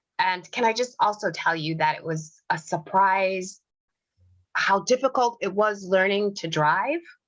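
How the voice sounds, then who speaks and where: A woman talks at medium pitch. Her pace is fairly slow. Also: ordinary pitch variation. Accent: American. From US Midwest, Detroit. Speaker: psychologist and life coach, author. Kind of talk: interview.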